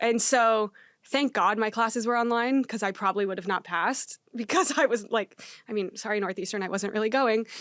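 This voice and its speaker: With an American accent, the speaker talks at a fairly quick pace with ordinary pitch variation on a very clean recording against a silent background. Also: woman, fairly high pitch for a woman. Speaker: startup founder and CEO. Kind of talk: podcast interview. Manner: fast; casual, filler-heavy.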